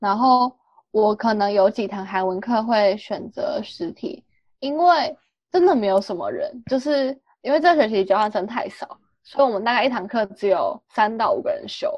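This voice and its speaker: This woman's voice is fairly high in pitch. She talks at a moderate pace. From Taiwan. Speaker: exchange student. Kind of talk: casual chat.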